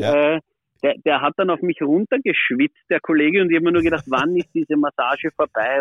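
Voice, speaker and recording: This is a normal speaking voice at a fairly quick pace. The pitch variation is ordinary. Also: man. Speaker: former ice hockey goalie, player agent. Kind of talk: casual interview. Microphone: poor sound quality.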